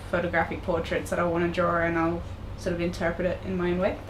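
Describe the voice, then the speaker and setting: In an Australian accent, a woman speaks with a fairly low pitch. Noticeable background noise and audible room echo surround her voice. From Australia, Tasmania. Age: 20s. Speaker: digital artist. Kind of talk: interview. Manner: hesitant, many fillers.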